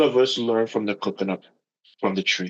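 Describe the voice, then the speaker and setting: A man talks in a Caribbean accent. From Caribbean, St. Martin. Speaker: yacht broker. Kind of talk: interview conversation.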